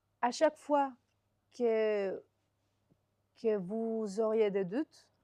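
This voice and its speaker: Very slowly and with a non-native accent, a woman speaks in a fairly high voice with a dark, mellow tone. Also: ordinary pitch variation. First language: not French (speaking French). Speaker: software developer. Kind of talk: interview. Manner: halting.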